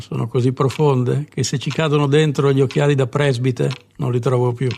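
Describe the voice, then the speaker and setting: A man's dark, mellow voice, monotone and flat, at a fairly quick pace. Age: 50s. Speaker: comedian. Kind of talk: comic monologue.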